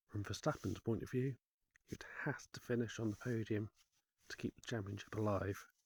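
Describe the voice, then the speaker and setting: Here a man speaks with a fairly low pitch and a somewhat breathy quality. His intonation is fairly even, and the sound is dry and close with no echo. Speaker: motorsport commentator. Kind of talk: casual sports commentary.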